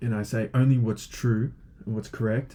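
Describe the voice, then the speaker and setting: Medium pitch, a dark, mellow tone and a somewhat breathy quality from a man, with ordinary pitch variation at a fairly slow pace. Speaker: online teacher of logic. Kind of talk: lecture. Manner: hesitant, many fillers.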